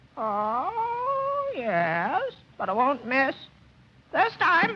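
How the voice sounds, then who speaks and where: A high-pitched, put-on character voice at a very slow pace. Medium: short film. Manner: excitable, fussy.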